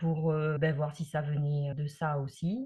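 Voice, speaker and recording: A woman speaks in a very deep, low voice. It is somewhat breathy, with fairly even intonation. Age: 60s. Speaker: migraine patient giving testimony. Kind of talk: testimony. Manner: hesitant, many filler sounds.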